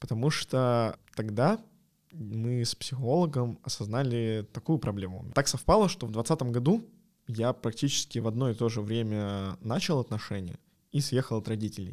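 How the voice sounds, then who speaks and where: A man with a normal speaking voice at medium pitch, with ordinary pitch variation and a moderate pace, in a very clean recording with a silent background. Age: 20s. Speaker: podcast co-host, product designer. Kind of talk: casual chat.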